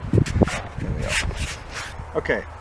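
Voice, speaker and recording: A man speaks over noticeable background noise. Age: 60s. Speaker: woodworking teacher building a guitar. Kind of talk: tutorial. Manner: casual, explanatory.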